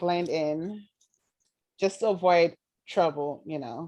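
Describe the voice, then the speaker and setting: The voice has a dark, mellow tone and ordinary pitch variation, with an American accent. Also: woman. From Nigeria. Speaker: graduate student. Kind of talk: Q&A after presentation.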